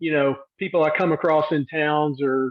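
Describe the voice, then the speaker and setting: A man speaks with a fairly high pitch at a moderate pace. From US South, Georgia. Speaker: program participant. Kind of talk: casual chat.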